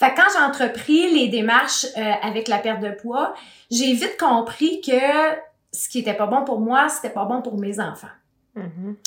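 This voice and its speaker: A high-voiced woman at a fairly slow pace, with lively intonation and big swings in loudness. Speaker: hypnotherapist. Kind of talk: interview.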